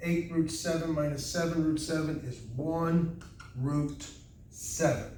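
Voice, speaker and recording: A man speaks very slowly in a fairly high, flat monotone. Room echo can be heard around his voice. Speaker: math teacher. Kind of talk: lecture.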